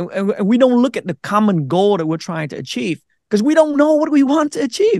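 A man speaks at a moderate pace with a Vietnamese accent. His pitch swings very widely. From Vietnam, then Minnesota from age 12. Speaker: navy veteran and content creator. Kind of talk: casual interview.

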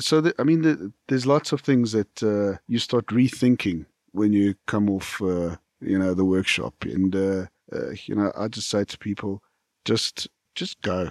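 In a very clean recording with a silent background and a dry, close sound with no echo, a man with a fairly low voice talks at a fairly slow pace using lively intonation. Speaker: podcast guest. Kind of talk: casual chat. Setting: studio. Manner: enthusiastic.

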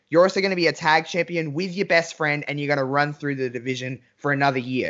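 Animated in tone, a man talks at a fairly quick pace. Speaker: wrestling podcast host, guest. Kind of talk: casual chat.

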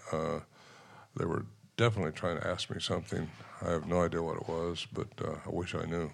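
A man's very deep, low pitch with ordinary pitch variation, a fairly quick pace and long, frequent pauses. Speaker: Bigfoot researcher and author. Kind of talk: storytelling on stage at a live event. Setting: stage with audience.

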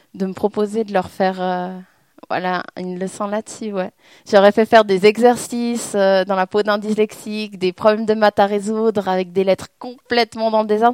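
A woman at a medium pitch speaks in a flat monotone, with a dry, close sound and no echo. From French-speaking Switzerland, Lausanne. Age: 20s. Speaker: author speaking about her dyslexia. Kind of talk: public talk with audience questions.

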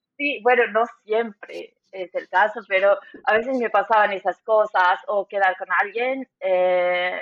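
A woman talks fairly slowly, her intonation staying fairly even. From Bolivia, Cochabamba. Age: 30s. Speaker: immigrant in Germany. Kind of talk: interview.

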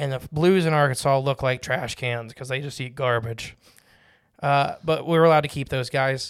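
On a very clean recording with a silent background, a man with an unremarkable speaking voice and a fairly high pitch talks at a moderate pace with fairly even intonation. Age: 20s. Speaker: fishing podcast co-host. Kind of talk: casual chat.

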